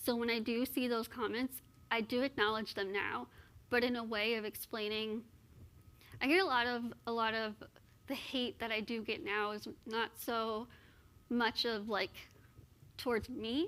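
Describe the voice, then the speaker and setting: A woman with an American accent, fairly high-pitched and bright, sharp in tone, at a moderate pace with fairly even intonation and long, frequent pauses. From Texas (Austin). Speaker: motivational speaker. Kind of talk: interview on stage.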